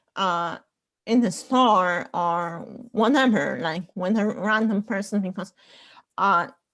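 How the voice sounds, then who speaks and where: Very slow speech from a woman with a non-native accent, medium pitch, ordinary pitch variation and long, frequent pauses, in a very clean recording with a silent background. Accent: foreign. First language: not English. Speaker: panelist. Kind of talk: casual panel discussion. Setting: group call.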